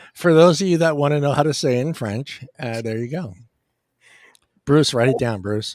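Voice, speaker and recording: A man with a Californian accent talks at a moderate pace in a fairly high pitch with ordinary variation, leaving long, frequent pauses. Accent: California. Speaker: podcast host. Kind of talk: casual chat. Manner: halting.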